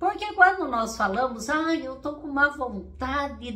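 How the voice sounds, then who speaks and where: Over noticeable background noise, a woman projects a raised, high voice with very wide pitch swings. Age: 60s. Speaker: therapist and coach. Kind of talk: casual motivational talk to camera.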